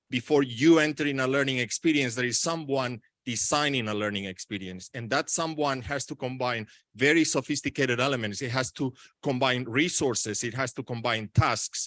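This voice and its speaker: Over a quiet background, a man at medium pitch speaks at a fairly quick pace with ordinary pitch variation, the sound dry and close with no echo. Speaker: education technology researcher. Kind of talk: conference talk. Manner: fast.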